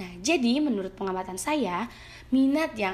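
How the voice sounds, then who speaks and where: A woman talks at a moderate pace in a fairly high, somewhat breathy voice. Her pitch swings very widely. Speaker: university student. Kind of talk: reading aloud prepared exam answers. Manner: reading from script with occasional hesitations.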